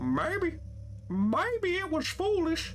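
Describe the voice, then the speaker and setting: A man puts on a character voice at an extremely high pitch. Clear background noise runs behind him. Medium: game stream.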